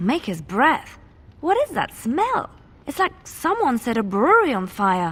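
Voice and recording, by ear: A woman performs a put-on character voice, fairly high-pitched with a slightly husky edge. She goes at a fairly slow pace with very wide pitch swings.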